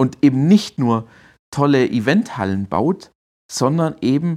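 A man's pitch swings very widely on this very clean recording, where the background is silent. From Swabia, Germany (Heilbronn region). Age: 30s. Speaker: digital strategy consultant. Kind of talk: interview.

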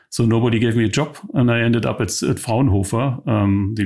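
The recording is very clean, with a silent background. A man with a German accent speaks at a fairly low pitch. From East Germany. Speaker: tech company co-founder and CTO. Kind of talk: interview. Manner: halting.

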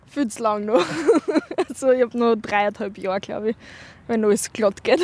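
A woman with an unremarkable speaking voice, fairly high in pitch, with ordinary pitch variation and a moderate pace. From Upper Austria, Windischgarsten. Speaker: university student. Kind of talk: street interview. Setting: outdoors in a park.

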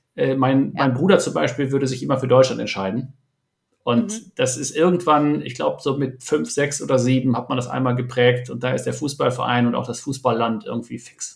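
Showing vocal fry, a man speaks at a fairly quick pace, his medium pitch varying in an ordinary way. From Germany, Ruhr area. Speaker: startup entrepreneur and investor. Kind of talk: podcast interview. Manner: hesitant, many fillers.

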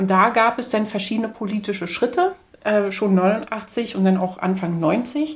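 Speaking at a fairly slow pace, a woman with a fairly high, somewhat breathy voice uses ordinary pitch variation. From East Berlin, Germany. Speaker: media researcher. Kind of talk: interview. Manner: hesitant, many fillers.

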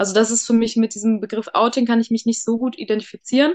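Speaking at a very fast pace, a woman uses a fairly high voice. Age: 30s. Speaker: interview guest sharing her coming-out story. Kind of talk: casual interview.

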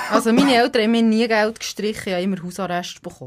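Talking at a very fast pace over noticeable background noise, a woman uses a fairly high pitch with ordinary pitch variation. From Switzerland, Epsach (Bernese Seeland). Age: 30s. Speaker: radio presenter, podcast co-host. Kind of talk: casual chat. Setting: radio studio.

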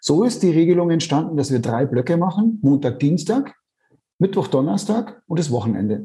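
A man's fairly high, dark and mellow voice with vocal fry, very wide pitch swings, very even loudness and a moderate pace. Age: 50s. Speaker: author and parent. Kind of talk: interview. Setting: remote call.

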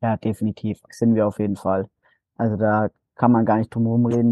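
A man of medium pitch at a moderate pace. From Bavaria, Nuremberg (Franconia). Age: young. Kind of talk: interview testimony.

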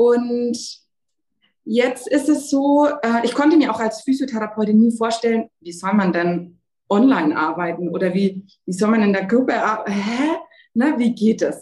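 Her fairly high voice carries lively intonation. The woman leaves long, frequent pauses. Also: fairly slow pace. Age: 20s. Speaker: sports physiotherapist. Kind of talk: interview.

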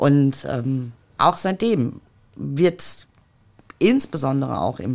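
A woman talks with vocal fry at a very deep, low pitch. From Ruhr area, Germany (Mülheim an der Ruhr). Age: 50s. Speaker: politician. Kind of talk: podcast interview.

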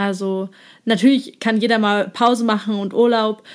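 In an unremarkable speaking voice, a woman talks at a fairly slow pace with fairly high pitch and fairly even intonation, on a very clean recording with a silent background. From eastern Germany. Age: 20s. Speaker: psychology student and influencer. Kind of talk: casual chat.

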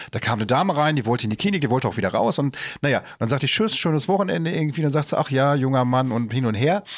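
Very fast talk from a man at a medium pitch, with lively intonation and very even loudness. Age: 40s. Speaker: podcast host. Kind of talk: casual chat.

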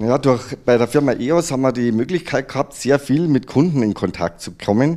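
Using lively intonation, a man with a medium-pitched, dark, mellow tone speaks at a moderate pace. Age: 50s. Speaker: additive manufacturing entrepreneur, former service technician. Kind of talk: interview.

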